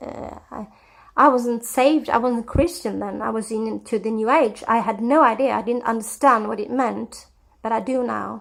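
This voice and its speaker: A woman with a Scandinavian accent speaks at a fairly high pitch, her intonation fairly even and touched with vocal fry. Her loudness swings widely from moment to moment. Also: moderate pace. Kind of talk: personal testimony. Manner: hesitant, with many fillers.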